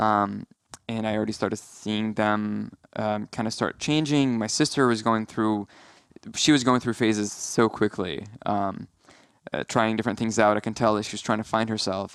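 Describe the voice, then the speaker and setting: A man mumbles with fairly even intonation. His pitch sits fairly low. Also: moderate pace. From Syria (Aleppo). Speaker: film producer. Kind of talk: casual interview chat. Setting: podcast studio. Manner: mumbly; halting, many fillers.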